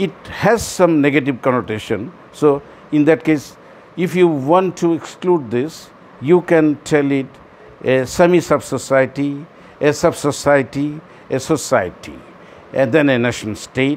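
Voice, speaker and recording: A man with a Bangladeshi accent talks at a fairly slow pace, his fairly high pitch showing ordinary variation. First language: Bengali. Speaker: commentator on world affairs. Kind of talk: monologue talk. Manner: halting, with repetitions.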